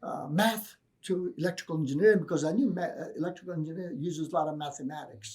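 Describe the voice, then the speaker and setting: A man speaks at a very fast pace in a Greek accent. His pitch is high, with ordinary variation. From Greece, then Virginia, US from teens. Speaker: professor. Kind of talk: interview.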